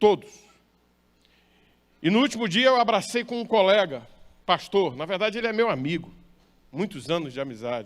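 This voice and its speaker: With a high pitch and very wide pitch swings, a man speaks at a moderate pace, leaving long, frequent pauses. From northern Brazil, Maranhão. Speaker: pastor. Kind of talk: sermon.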